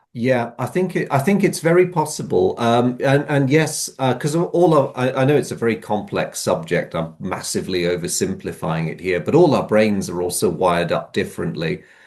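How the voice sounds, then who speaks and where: A man of medium pitch speaks with vocal fry and very wide pitch swings, hardly pausing at all. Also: moderate pace. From Malaysia. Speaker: history enthusiast co-host. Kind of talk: casual chat. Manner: hesitant, many repetitions and fillers.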